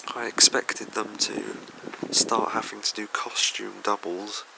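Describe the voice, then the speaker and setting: A soft-spoken man at a very slow pace amid noticeable background noise. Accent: English. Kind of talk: ASMR soft-spoken toy review. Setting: room with a fan running. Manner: soft-spoken, hesitant.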